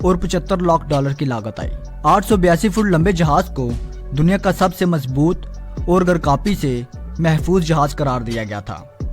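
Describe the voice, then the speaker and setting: With ordinary pitch variation and a fairly high voice, a man speaks as background music plays. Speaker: channel host narrating facts. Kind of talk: documentary-style storytelling narration.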